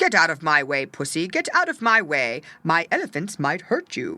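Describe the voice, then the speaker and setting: A put-on character voice at a middle pitch comes through a very clean recording with a silent background. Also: moderate pace. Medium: read story.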